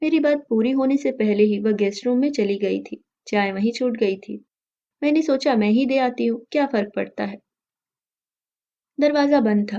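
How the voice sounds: Her tone dark and mellow, a woman speaks at a fairly high pitch and a moderate pace with ordinary pitch variation.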